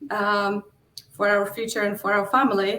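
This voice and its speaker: With a Polish accent, a woman speaks at a very slow pace. Her medium pitch stays monotone and flat. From Poland. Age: 40s. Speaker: real estate investor. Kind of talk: interview. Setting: livestream.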